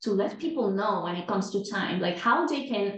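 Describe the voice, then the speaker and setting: In a room with audible echo, a woman of medium pitch speaks with a Spanish accent. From Venezuela, Caracas. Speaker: time management coach. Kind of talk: podcast interview. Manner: repeats words, slightly halting.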